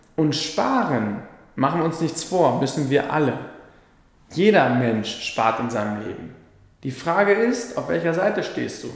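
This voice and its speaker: A man with a fairly high voice speaks at a fairly slow pace, leaving long, frequent pauses. His pitch swings very widely, and the recording carries noticeable background noise and audible room echo. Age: 20s. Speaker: financial advisor podcaster. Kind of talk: solo explainer monologue.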